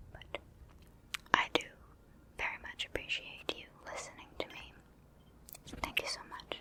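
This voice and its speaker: Someone whispers in a calm tone with long, frequent pauses over noticeable background noise. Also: moderate pace. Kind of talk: ASMR gameplay ramble. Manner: whispered; soft-spoken, calm.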